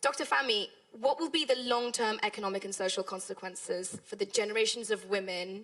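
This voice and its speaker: Speaking with a British accent, a woman keeps a moderate pace. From United Kingdom. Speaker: panel moderator, journalist. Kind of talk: panel discussion moderation.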